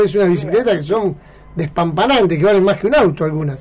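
Someone with an Argentine accent speaks with ordinary pitch variation over noticeable background noise. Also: man. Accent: Rioplatense Argentine Spanish. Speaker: radio host. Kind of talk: radio interview.

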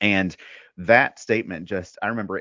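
A man speaks with a Southern US accent. His pitch is fairly low, with ordinary variation. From US South, Mississippi. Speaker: men's ministry founder. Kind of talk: casual interview.

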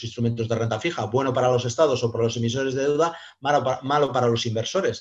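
A man speaks at a medium pitch with fairly even intonation and a somewhat breathy quality. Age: 50s. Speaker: private investor. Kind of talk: casual interview. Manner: hesitant, many fillers and repetitions.

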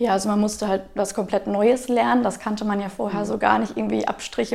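A woman's voice over noticeable background noise. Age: 20s. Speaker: Red Cross volunteer leader. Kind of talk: interview.

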